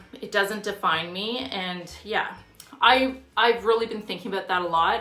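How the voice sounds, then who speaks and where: The recording has audible room echo. A woman talks at a moderate pace with ordinary pitch variation. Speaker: fitness vlogger. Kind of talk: casual vlog monologue.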